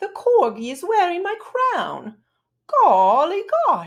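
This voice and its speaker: A woman uses a put-on character voice at an extremely high pitch with very wide pitch swings. She speaks at a very slow pace. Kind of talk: posh. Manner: dainty.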